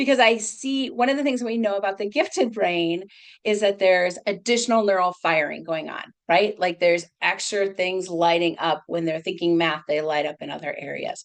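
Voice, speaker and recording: With an American accent, a woman talks at a medium pitch with ordinary pitch variation. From US Midwest, Minnesota. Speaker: psychologist. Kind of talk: webinar lecture. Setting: video call. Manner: fast; animated.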